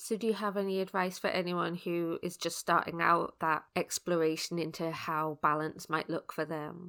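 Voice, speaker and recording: Speaking with a British accent and a bright, sharp tone, the voice keeps a moderate pace and monotone, flat intonation with hardly any pauses, on a very clean recording with a silent background. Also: woman, fairly low pitch for a woman. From UK. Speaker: podcast host, personal development coach. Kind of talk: interview podcast.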